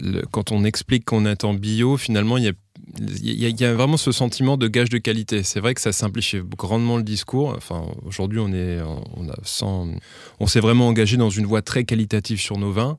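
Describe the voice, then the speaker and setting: A man speaks at a fairly quick pace in a fairly low pitch. The recording is very clean, with a silent background. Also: ordinary pitch variation. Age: 30s. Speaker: champagne house director. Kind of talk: podcast interview. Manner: hesitant, many fillers.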